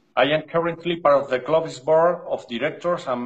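A man's fairly high, somewhat breathy voice with an Andalusian accent, ordinary pitch movement, and a quiet background. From Spain. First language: Spanish. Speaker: dog breeder. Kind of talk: interview reading prepared notes. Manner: halting. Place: home room. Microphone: video call.

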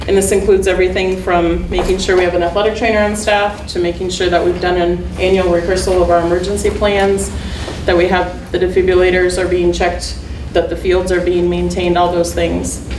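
A woman at a fairly quick pace with very even loudness and noticeable background noise. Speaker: athletic trainer presenting an award. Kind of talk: presentation to a board. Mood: pleased, a bit nervous. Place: meeting room. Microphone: camera far.

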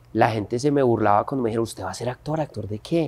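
The recording is very clean, with a silent background. A man uses an ordinary speaking voice at medium pitch with ordinary pitch variation. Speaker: actor and entrepreneur. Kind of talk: interview.

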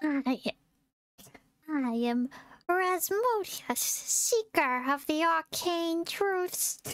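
A put-on character voice with an extremely high pitch goes at a very slow pace. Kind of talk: reading game dialogue aloud. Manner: hammy, overacted.

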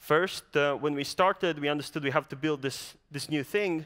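A man's fairly high voice, bright and sharp in tone, at a moderate pace over a quiet background. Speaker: startup founder; presenter. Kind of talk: startup pitch presentation. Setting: stage with audience. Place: stage. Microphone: headset.

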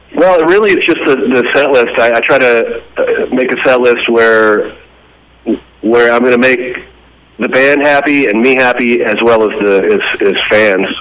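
A man with a plain, everyday voice speaks at a fairly slow pace, medium in pitch with ordinary pitch variation. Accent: American. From Texas, Fort Worth; Texas. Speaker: rock band frontman; interviewee. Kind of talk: phone interview.

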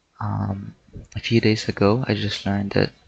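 A man is speaking. His voice is soft-spoken. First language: not English. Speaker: gaming YouTuber. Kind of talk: casual gameplay commentary. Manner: quiet, soft-spoken.

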